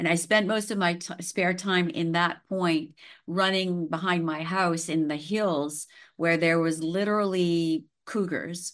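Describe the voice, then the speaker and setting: Woman with a Western Canadian accent, fairly low in pitch, fairly slow and fairly even in intonation, against a quiet background. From Canadian prairies, Saskatchewan. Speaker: holistic healer. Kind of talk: interview conversation.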